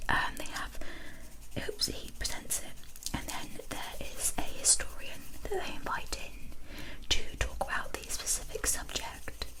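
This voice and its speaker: Over noticeable background noise, a whisper moves along at a very slow pace. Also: hardly any pauses. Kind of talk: ASMR ramble talking to camera. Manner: whispered, soft-spoken.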